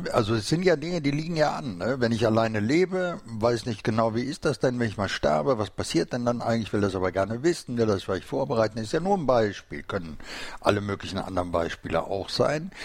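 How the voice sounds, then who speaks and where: Very wide pitch swings run through this man's medium-pitched voice. He talks very fast. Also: hardly any pauses. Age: 60s. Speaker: podcast host. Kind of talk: casual interview. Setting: studio.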